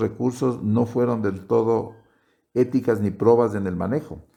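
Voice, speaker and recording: A man's dark, mellow voice proceeds at a fairly slow pace. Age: 60s. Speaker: retired-age doctor interviewed by granddaughter. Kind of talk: interview. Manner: halting, many repetitions.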